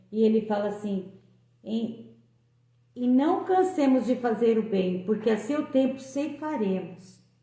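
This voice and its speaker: Woman with a dark, mellow tone and fairly high pitch, lively intonation, fairly slow pace, and audible room echo. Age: 60s. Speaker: lay preacher. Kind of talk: devotional talk.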